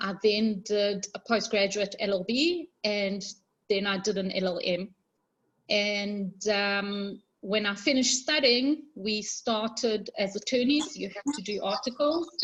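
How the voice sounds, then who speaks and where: A somewhat breathy woman's voice at a fairly slow pace, ordinary pitch variation, and a quiet background. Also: medium pitch for a woman. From South Africa, Johannesburg (moved from Israel at about 12). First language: Hebrew. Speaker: attorney. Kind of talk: talk to an online group.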